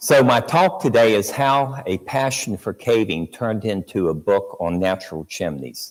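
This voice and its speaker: A man at medium pitch, fairly slow, with very wide pitch swings. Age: 70s. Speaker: author and veteran caver. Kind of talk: public talk with slides. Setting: talk in front of a live audience.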